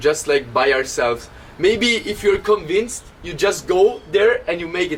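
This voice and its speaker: Over noticeable background noise, a man with an Italian accent and a high pitch talks at a moderate pace with lively intonation. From Italy. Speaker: DJ and podcast host. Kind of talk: casual chat. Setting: traveling to the beach. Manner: animated.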